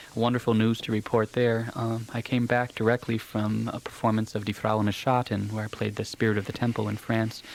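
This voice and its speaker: A man with an American accent talks at a fairly quick pace in a monotone, flat delivery with hardly any pauses. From United States. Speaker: opera singer. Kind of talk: radio interview. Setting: radio studio.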